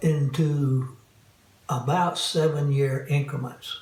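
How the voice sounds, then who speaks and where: Audible room echo around a man's fairly high voice, going at a very slow pace. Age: 80s+. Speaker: caregiver. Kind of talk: interview testimony.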